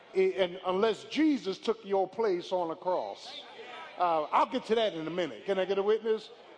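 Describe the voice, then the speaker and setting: The speaker has an animated tone and ordinary pitch variation at a moderate pace. Noticeable background noise can be heard. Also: man, high pitch for a man. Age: 50s. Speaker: pastor. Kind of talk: sermon. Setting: church.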